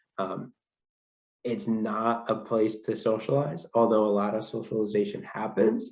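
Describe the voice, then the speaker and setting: A man with a fairly low pitch speaks at a fairly slow pace in a monotone, flat way. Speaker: accounting firm presenter. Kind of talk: career presentation. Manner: hesitant, many ums.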